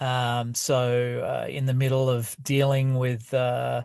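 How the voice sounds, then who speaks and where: Very slow, monotone, flat delivery with an Australian accent. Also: man. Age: 50s. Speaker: podcaster and author. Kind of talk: casual monologue and reading from own book. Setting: outdoors at night, outside basketball practice. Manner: halting, many fillers.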